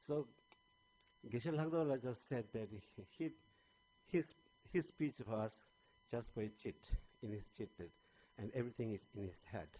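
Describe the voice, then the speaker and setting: The voice is dark and mellow, with lively intonation, a moderate pace and long, frequent pauses. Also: man, medium pitch for a man. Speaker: panelist at a Buddhist conference. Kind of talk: conference talk. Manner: halting, many fillers and restarts.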